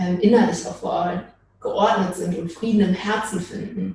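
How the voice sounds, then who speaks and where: Here is a woman with an ordinary speaking voice at a medium pitch. Her intonation is fairly even and her pace moderate. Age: 20s. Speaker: social work student, church member. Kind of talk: casual interview.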